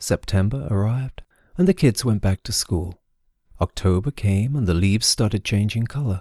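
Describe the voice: Plain reading aloud comes through over a quiet background.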